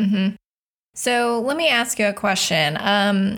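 A woman talks in an unremarkable speaking voice. Her pace is moderate and her pitch variation ordinary. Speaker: podcast host. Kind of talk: casual interview.

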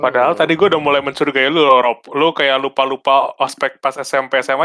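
The voice has a bright, sharp tone and fairly even intonation. It runs at a very fast pace. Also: man. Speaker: podcast co-host. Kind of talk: casual chat.

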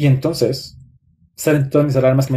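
His tone is dark and mellow. The man talks at a very fast pace. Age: 30s. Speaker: psychologist and relationship content creator. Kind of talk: live stream talk.

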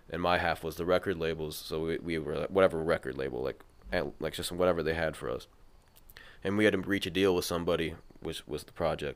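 The voice races at a very fast pace with vocal fry and fairly even intonation. Its loudness swings widely. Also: man, very deep, low pitch for a man. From Minnesota, Mankato. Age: 20s. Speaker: founder of a local rap media channel. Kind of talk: casual chat.

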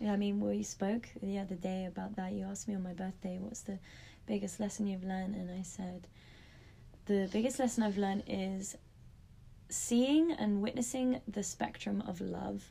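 A woman speaks with a London accent at medium pitch and a moderate pace. Her voice is somewhat breathy, with ordinary pitch variation. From London, England. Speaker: yoga teacher. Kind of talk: casual chat.

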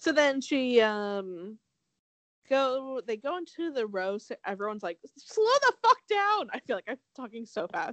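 At a fairly slow pace, a woman speaks in an animated tone with lively intonation. The sound is dry and close, with no echo.

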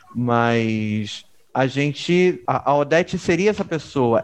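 A man speaks with lively intonation amid noticeable background noise. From Rio de Janeiro, Baixada Fluminense (Caxias). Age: 30s. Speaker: podcast co-host. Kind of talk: casual chat. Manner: animated.

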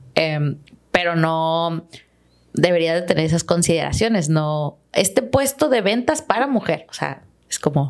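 A woman's normal speaking voice, fairly low in pitch, with lively intonation at a fairly slow pace. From Los Mochis, Sinaloa, Mexico. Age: 20s. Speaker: agronomist and podcaster. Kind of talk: casual interview chat. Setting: studio.

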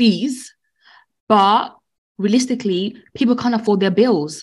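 A woman with a British accent, her fairly high voice somewhat breathy, at a moderate pace with ordinary pitch variation, on a very clean recording with a silent background. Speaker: respiratory nurse co-host. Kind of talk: casual chat.

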